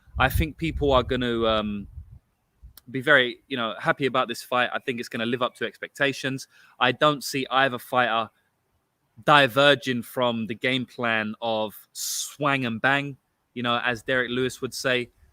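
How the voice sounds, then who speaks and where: A man with a London accent speaks at a moderate pace and medium pitch in a bright, sharp tone with fairly even intonation. The sound is dry and close with no echo, a very clean recording against a silent background. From London, England. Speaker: sports betting podcast host. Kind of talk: casual podcast analysis. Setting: outdoors.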